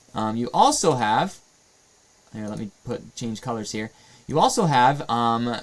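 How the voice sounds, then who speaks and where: Using a plain, everyday voice, this man keeps a moderate pace and a medium pitch. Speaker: math teacher. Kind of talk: tutorial.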